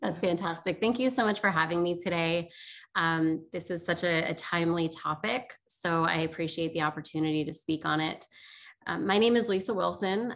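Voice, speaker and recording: A woman with an American accent, a fairly low pitch, ordinary pitch variation, and a moderate pace, against a quiet background. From New Jersey. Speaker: company executive. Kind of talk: interview. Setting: video call. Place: home room. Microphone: video call.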